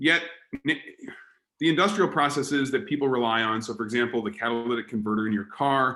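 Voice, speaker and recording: A man with an American accent, a medium pitch, a very fast pace and lively intonation. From Australia, Melbourne. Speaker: chemistry professor. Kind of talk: public lecture. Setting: online talk. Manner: casual with frequent fillers.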